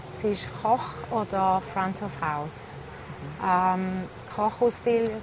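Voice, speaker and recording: A woman talks at a very slow pace in a medium pitch with ordinary pitch variation, while noticeable background noise runs underneath. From eastern Switzerland, St. Gallen. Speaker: restaurant founder. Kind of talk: interview.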